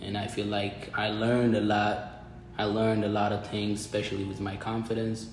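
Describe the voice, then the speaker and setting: Over noticeable background noise and audible room echo, a man talks at a moderate pace with an Ethiopian accent. His pitch is fairly low and his intonation monotone and flat. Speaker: college student. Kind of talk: casual interview chat. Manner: halting, repetitive phrasing.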